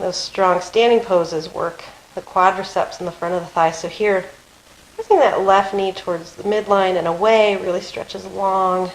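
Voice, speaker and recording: Over noticeable background noise, a woman speaks at a medium pitch and moderate pace in a calm tone, with fairly even intonation but big swings in loudness. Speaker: yoga teacher. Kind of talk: guided yoga class.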